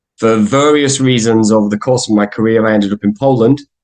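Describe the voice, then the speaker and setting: A man with an English accent, medium in pitch, at a fairly quick pace with fairly even intonation. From England. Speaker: guest lecturer, freemason. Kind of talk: lecture.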